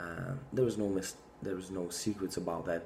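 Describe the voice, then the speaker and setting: This man, speaking with a non-native accent, has a very deep, low pitch and a dark, mellow tone at a moderate pace. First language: not English. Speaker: fitness vlogger. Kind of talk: casual monologue to camera. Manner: halting, many fillers.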